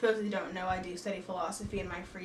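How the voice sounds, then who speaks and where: A woman speaks in an animated tone. Audible room echo and noticeable background noise are present. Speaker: book vlogger. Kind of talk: casual book review vlog. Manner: animated, talks with hands.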